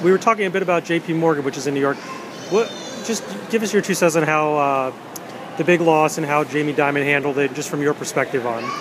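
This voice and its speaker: An American accent from a man, fairly high-pitched and fairly quick, with ordinary pitch variation over noticeable background noise. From Florida. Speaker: blogger interviewer. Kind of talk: interview. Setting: bookstore.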